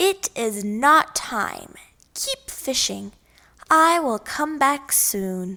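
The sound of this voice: A woman speaks in a put-on character voice, very slowly, with vocal fry. Her pitch is high, her tone bright and sharp, and her intonation lively.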